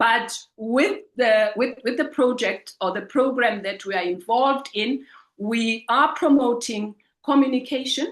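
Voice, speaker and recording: A woman speaks in a Zulu accent with a high pitch. Her pace is fairly slow. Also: ordinary pitch variation. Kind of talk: webinar presentation. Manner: halting, with frequent repetitions.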